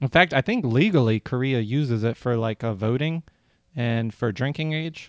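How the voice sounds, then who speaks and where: A man has an ordinary speaking voice. He talks at a medium pitch with ordinary pitch variation. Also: moderate pace. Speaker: podcast host. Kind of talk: casual comedy podcast chat.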